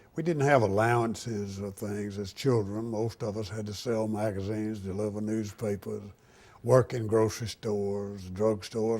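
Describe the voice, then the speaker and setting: With an Alabama accent, a man speaks at a moderate pace in a fairly low pitch, his tone dark and mellow and his intonation fairly even. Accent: Alabama Southern US. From US South, Tuscaloosa, Alabama. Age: 80s+. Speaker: war veteran. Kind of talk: oral history interview. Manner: halting.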